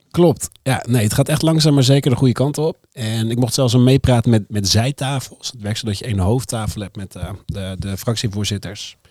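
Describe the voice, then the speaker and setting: A man with an ordinary speaking voice talks at medium pitch and a moderate pace, with ordinary pitch variation, hardly any pauses, and a dry, close sound with no echo. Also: big swings in loudness. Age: 30s. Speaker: comedian. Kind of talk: casual chat. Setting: studio.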